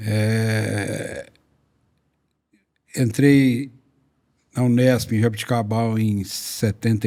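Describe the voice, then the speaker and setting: Dark, mellow male speech, very cleanly recorded against total background silence. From Brazil, interior of São Paulo state. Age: 70s. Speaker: veterinarian and company founder. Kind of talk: interview storytelling.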